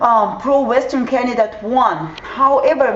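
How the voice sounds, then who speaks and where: A woman with a Ukrainian accent speaks over noticeable background noise. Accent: Ukrainian accent, non-native English. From southern Ukraine. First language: Russian or Ukrainian. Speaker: vlogger. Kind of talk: explainer video. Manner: halting, many fillers.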